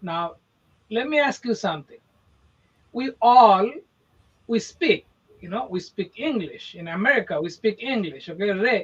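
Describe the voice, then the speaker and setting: A man with a high voice speaks with long, frequent pauses. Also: lively intonation, moderate pace, big swings in loudness. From India. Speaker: podcast co-host, real estate marketer. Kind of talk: casual podcast chat. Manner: animated.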